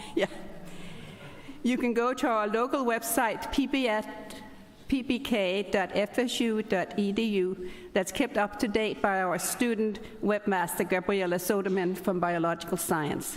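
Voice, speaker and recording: A woman talks with a Danish accent. Her loudness stays very even, and her pitch varies in an ordinary way. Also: medium pitch for a woman, moderate pace. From Denmark. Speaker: academic society chapter president, professor. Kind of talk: ceremony welcome speech. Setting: ceremony hall with audience.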